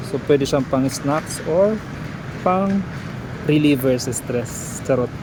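The speech comes at a very slow pace with noticeable background noise. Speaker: vlogger shopper. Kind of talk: casual vlog walkthrough, pitching sale prices like a street seller. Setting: indoors in a supermarket in Jeddah. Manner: calling out prices with repeated 'super mura' hard-sell emphasis.

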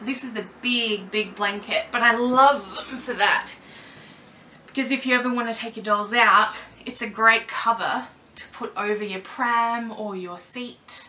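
At a moderate pace, the intonation stays fairly even while the loudness swings widely. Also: woman. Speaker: doll collector vlogger. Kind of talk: casual vlog tutorial. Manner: loud, projecting. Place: home room. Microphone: camera mic far from speaker; camera far.

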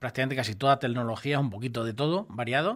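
Behind a man's speech, the background stays quiet. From Ciudad Real province, Spain; Spain. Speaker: furniture and mattress shop manager; mattress seller. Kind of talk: radio interview. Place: studio. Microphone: studio mic.

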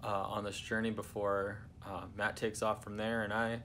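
Over light background noise, a man speaks at a moderate pace in a fairly low pitch with monotone, flat intonation. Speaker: travel vlogger. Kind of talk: casual vlog chat. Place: home room. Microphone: phone near.

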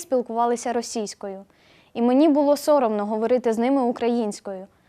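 Against a quiet background, a woman talks at a fairly quick pace with ordinary pitch variation. Her voice is high-pitched, with a dark, mellow tone. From Ukraine, Boiarka near Kyiv. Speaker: university student. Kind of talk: video blog monologue.

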